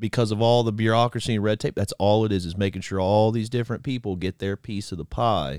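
On a very clean recording with a silent background and a dry, close sound with no echo, a man talks at a moderate pace in an unremarkable speaking voice with ordinary pitch variation. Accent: American. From Florida Panhandle, near Pensacola. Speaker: sports podcast co-host. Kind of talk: casual chat.

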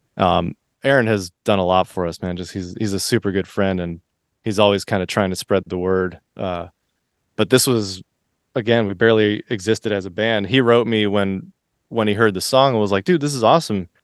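In a plain, everyday voice with an American accent, someone speaks at a fairly quick pace with ordinary pitch variation, the sound dry and close with no echo against a quiet background. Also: man, fairly low pitch for a man. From Florida. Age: 40s. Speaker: musician. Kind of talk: casual chat.

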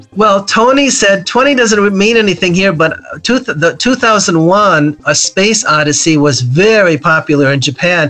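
A raised, projected voice at a fairly slow pace, with very even loudness, lively intonation, hardly any pauses, and noticeable background noise. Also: man, high pitch for a man. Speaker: former computer company executive and author. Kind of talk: interview answering questions about computer history. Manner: conversational, laughs often.

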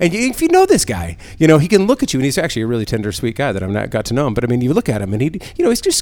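Loud and animated, a man talks at a very fast pace with a fairly high pitch and very wide pitch swings. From San Diego. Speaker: podcast host. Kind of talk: casual chat. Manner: loud, animated.

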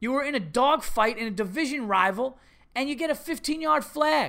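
In a very clean recording with a silent background, a man uses a raised, projected voice with a bright, sharp tone, an extremely high pitch, ordinary pitch variation and a moderate pace. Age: 30s. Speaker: podcast host and comedian. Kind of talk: casual monologue.

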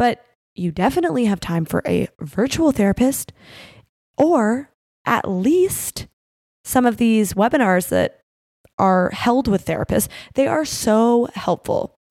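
A woman with a Canadian accent speaks at a fairly slow pace with long, frequent pauses, her fairly high pitch swinging very widely. The recording is very clean, with a silent background and a dry, close sound with no echo. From Canada. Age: 30s. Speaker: podcast host, wrestler. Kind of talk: casual chat.

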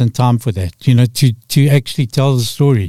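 Dry and close with no echo, a man with a Zimbabwean accent talks at a fairly quick pace in a dark, mellow tone with ordinary pitch variation. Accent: Zimbabwean (Rhodesian) English. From Rhodesia (Zimbabwe). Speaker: storyteller and author. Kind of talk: radio interview.

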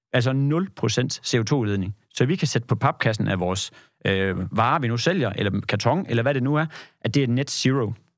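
A plain, everyday voice from a man of medium pitch, lively intonation and moderate pace, on a very clean recording with a silent background. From Jutland, Denmark. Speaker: agricultural carbon certification consultant. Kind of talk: podcast interview. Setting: studio.

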